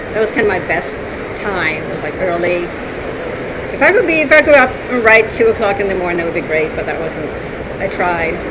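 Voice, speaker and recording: A woman with a Swedish accent talks at a fairly quick pace and medium pitch, with very wide pitch swings and long, frequent pauses. Audible room echo and noticeable background noise fill the recording. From northern Sweden. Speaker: author. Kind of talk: interview. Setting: conference floor, noisy.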